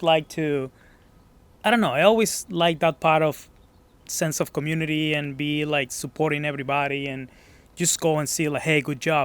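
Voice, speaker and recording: A man with a Mexican accent speaks at a moderate pace and a fairly high pitch on a very clean recording with a silent background. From Mexico, Guadalajara. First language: Spanish. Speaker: gym member. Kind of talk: casual interview. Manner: hesitant.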